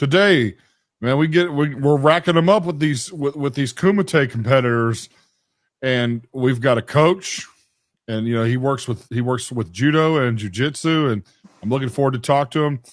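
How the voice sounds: A man speaks at a moderate pace and medium pitch, with ordinary pitch variation.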